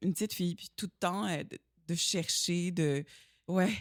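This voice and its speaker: Dry and close with no echo, this is a very clean recording over a silent background. Pitch moves with ordinary variation. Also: woman. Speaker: stunt performer and actress. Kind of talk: casual interview chat. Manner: slow, poised speech.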